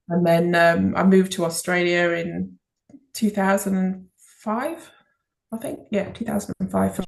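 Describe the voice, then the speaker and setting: A woman speaks in an English accent at medium pitch. Her pace is fairly slow, with ordinary pitch variation. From England, Liverpool. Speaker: children's author. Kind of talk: interview.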